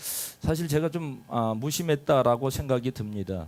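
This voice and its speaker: The recording is very clean, with a silent background. A man speaks at a fairly slow pace, his pitch swinging very widely. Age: 50s. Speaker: pastor. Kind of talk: sermon.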